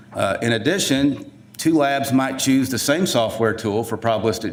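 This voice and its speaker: A man with a Southern US accent at a fairly quick pace, ordinary pitch variation and audible room echo. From US South. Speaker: forensic DNA scientist. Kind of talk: conference presentation. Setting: conference room with audience. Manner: casual, with many fillers.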